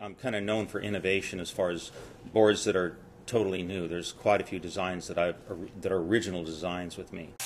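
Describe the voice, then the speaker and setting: Very deep and low in pitch, a man talks very fast with monotone, flat intonation and big swings in loudness. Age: 60s. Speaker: surfboard designer. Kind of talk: interview.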